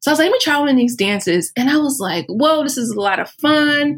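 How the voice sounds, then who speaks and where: Speaking at a moderate pace, a woman uses very wide pitch swings and shows vocal fry. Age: 30s. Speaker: plant-based weight loss coach. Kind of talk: casual chat.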